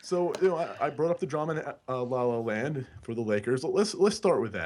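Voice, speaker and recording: A man with a New York accent talks at a moderate pace, his fairly high voice carrying lively intonation. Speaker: basketball podcast co-host. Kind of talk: casual podcast discussion.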